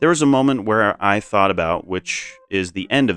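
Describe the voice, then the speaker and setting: An unremarkable speaking voice moves at a fairly quick pace with ordinary pitch variation, recorded dry and close with no echo. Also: man. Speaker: video game commentary YouTuber. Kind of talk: scripted narration.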